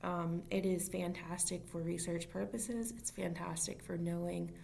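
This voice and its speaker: There's a woman's voice here. Noticeable room echo hangs around it. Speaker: early intervention special education teacher. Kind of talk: informal solo talk to camera. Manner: fast; halting.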